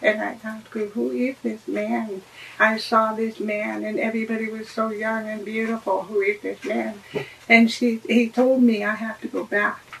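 A woman with an American accent at a moderate pace, fairly even intonation, big swings in loudness, and noticeable background noise. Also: fairly high pitch for a woman. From Oregon (St. Helens, near Portland). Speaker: ministry volunteer. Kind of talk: testimony. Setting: studio with camera. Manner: quiet.

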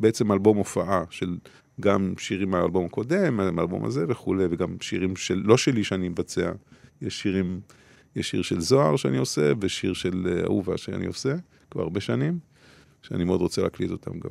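Vocal fry runs through the speech. The pace is fairly quick and the intonation lively. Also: man, very deep, low pitch for a man. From Israel, Beersheba. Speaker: musician and labor activist. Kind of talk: interview. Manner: halting.

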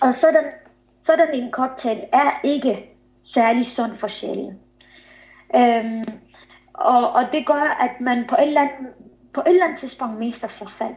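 Speaking very slowly with long, frequent pauses, a woman uses a high voice with ordinary pitch variation and big swings in loudness. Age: 30s. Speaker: author. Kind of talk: interview. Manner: halting.

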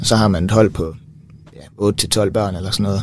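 A man's fairly low-pitched voice moves at a moderate pace. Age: 20s. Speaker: physiotherapy student. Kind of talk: casual chat. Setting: studio.

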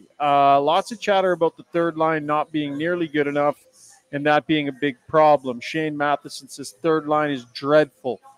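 In a Canadian accent, a man talks at a fairly slow pace with fairly even intonation and big swings in loudness. Music plays in the background of the dry, close sound with no echo. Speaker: hockey podcast host. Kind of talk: live postgame sports talk. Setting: live at a bar with crowd.

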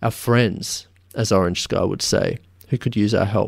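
With an Australian accent, this man talks at a moderate pace with ordinary pitch variation, in a dry, close sound with no echo on a very clean recording with a silent background. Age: 30s. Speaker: podcast host. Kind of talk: interview; scripted narration. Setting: guest's office.

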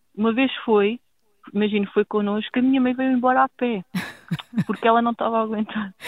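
A woman speaks at a fairly quick pace with long, frequent pauses and very even loudness. Her pitch is fairly high and her intonation fairly even. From rural Portugal. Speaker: footballer's sister. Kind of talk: interview.

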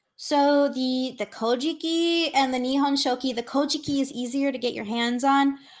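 A high-pitched woman at a very slow pace over a quiet background. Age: 20s. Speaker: anthropologist of religion, PhD candidate. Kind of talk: interview. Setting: video call.

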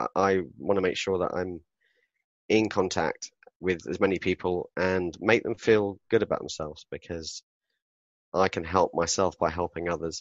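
A man with a very deep, low pitch speaks at a moderate pace in a southern English accent. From southern England, Southampton. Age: 40s. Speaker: author and public speaker. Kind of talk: interview conversation.

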